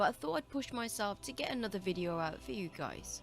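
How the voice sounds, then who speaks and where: Speaking fairly quickly with lively intonation, a woman in a British accent is heard over music in the background. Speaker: video game guide maker. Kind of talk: game tutorial narration.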